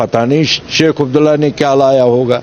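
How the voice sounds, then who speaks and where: A man's voice over noticeable background noise. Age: 70s. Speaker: local politician, former militant. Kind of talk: interview. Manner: animated.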